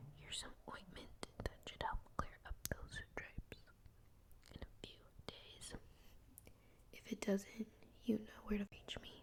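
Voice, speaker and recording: Someone whispers at a fairly slow pace. Long pauses come often. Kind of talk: ASMR read-aloud of children's books. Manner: soft-spoken, whispered.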